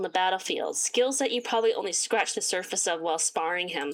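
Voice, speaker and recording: Over noticeable background noise, a woman's speech races along very fast. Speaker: gaming streamer. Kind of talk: reading aloud.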